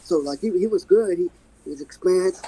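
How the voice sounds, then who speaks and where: In a dry, close sound with no echo, a man speaks at a moderate pace with ordinary pitch variation. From Virginia (Waynesboro). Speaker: street fighter. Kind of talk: interview. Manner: calm.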